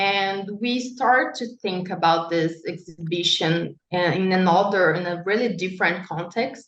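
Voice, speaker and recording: A woman speaks with a Brazilian Portuguese accent at a medium pitch, with ordinary pitch variation. Her pace is fairly slow, and she hardly pauses at all. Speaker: architect and urban researcher. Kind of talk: panel talk. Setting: panel event. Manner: halting, many fillers.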